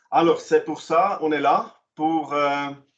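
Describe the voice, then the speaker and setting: A fairly high-pitched male voice. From German-speaking Switzerland. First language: Swiss German (speaking French). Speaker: commission president, vocational training presenter. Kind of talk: online information session presentation. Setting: online meeting. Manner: halting, many hesitations.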